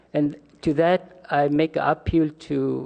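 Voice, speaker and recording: Fairly high in pitch, a man speaks with a dark, mellow tone. His intonation is fairly even. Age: 60s. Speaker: mobile home park resident. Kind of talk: public comment speech. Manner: halting.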